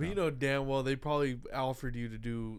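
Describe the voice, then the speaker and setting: A man with a normal speaking voice talks at a moderate pace, keeping a medium pitch with ordinary pitch variation. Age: 20s. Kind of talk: casual chat.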